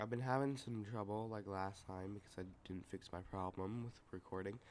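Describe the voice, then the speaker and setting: This man has an ordinary speaking voice, fairly low in pitch with fairly even intonation. He talks at a moderate pace over light background noise. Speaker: gamer commentator. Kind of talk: casual gameplay commentary.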